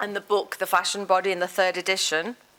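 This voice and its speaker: A woman speaks in a Liverpool accent. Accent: Liverpool (Scouse) English. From northern England, Liverpool. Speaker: professor. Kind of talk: lecture.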